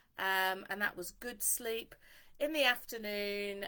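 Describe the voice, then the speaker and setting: A loud, bright, sharp tone with fairly even intonation at a fairly slow pace. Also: woman. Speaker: dog trainer. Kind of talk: live stream talk. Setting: Facebook Live stream.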